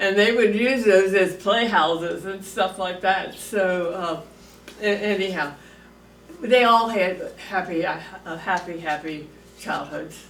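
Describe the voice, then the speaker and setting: Long, frequent pauses break up a woman's very slow speech, heard with noticeable background noise. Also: medium pitch for a woman, ordinary pitch variation. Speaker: grandmother recalling family history. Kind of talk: interview answer. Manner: casual, rambling.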